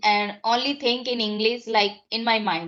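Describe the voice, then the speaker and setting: A woman speaks with an Indian accent at a fairly slow pace. Her pitch is high. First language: Hindi. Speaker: English learner. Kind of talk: casual chat. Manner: halting.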